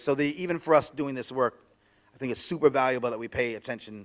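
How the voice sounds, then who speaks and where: With a New York accent, a man speaks at medium pitch and a fairly quick pace. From New York City. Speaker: author and podcaster, former DJ. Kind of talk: conference talk. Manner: fast; halting, many restarts.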